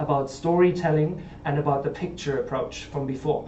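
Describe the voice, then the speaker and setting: Here a man with a German accent talks at a fairly quick pace, with a fairly high pitch and monotone, flat intonation. Audible room echo and noticeable background noise are present. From Germany. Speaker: startup founder pitching. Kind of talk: pitch presentation. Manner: hesitant, with fillers.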